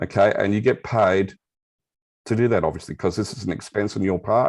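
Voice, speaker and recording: A man with an Australian accent talks at a fairly quick pace, his intonation fairly even. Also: fairly low pitch for a man. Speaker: crypto and blockchain expert. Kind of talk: interview explanation. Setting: video call with camera off.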